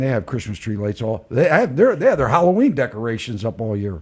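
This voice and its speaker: A man of medium pitch talks very fast and somewhat breathily. He hardly pauses. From Baltimore.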